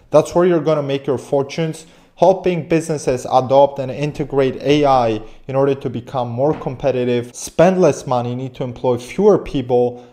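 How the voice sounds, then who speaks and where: A man with a non-native accent talks at a moderate pace and a fairly high pitch. His tone is dark and mellow, with ordinary pitch variation. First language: not English. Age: 20s. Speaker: business coach and AI automation agency owner. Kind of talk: online business tutorial. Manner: animated.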